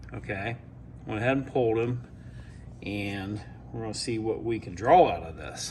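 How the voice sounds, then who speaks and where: There is audible room echo. Through it, a man's voice comes across. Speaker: Bigfoot researcher. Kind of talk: tutorial.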